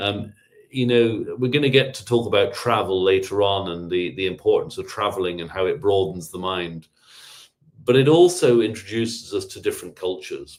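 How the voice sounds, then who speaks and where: A man with a British accent and big swings in loudness. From England. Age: 50s. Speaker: public historian. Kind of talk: lecture. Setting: video call. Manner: fast.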